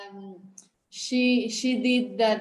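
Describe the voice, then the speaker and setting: A woman with a Spanish accent speaks at a very slow pace, with audible room echo. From Spain. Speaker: athlete and mother. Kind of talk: interview. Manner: halting.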